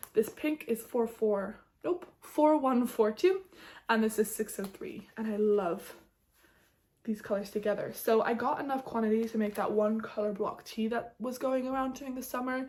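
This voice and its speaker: Fairly high female voice with an animated tone, ordinary pitch variation and a moderate pace. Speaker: knitting podcaster. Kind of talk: casual chat.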